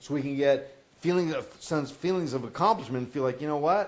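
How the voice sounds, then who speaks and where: Fairly quick delivery from a man with a fairly high pitch and ordinary pitch variation. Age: 50s. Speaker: podcast host and habit counselor. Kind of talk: casual coaching conversation. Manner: halting with frequent repetitions.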